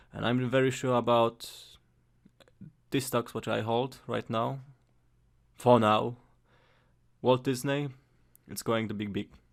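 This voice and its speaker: In a Polish accent, a man speaks at a medium pitch and a fairly slow pace with monotone, flat intonation and long, frequent pauses, on a very clean recording with a silent background. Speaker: amateur investor vlogger. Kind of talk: casual vlog. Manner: halting, frequent repetitions and fillers; careful, trying to speak clearly.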